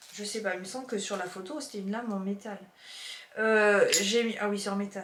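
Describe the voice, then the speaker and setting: Noticeable background noise and audible room echo fill the recording. A woman talks at a fairly quick pace with a fairly high pitch and ordinary pitch variation. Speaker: YouTuber, haul vlogger. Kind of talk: casual haul video chat. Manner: chatty, halting with fillers.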